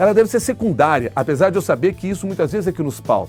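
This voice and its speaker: With music in the background, a man talks at a fairly quick pace, his pitch swinging very widely. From Brazil, Rio Grande do Sul. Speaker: radio journalist and news anchor. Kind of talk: interview answer. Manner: clear, fluent, radio-trained delivery.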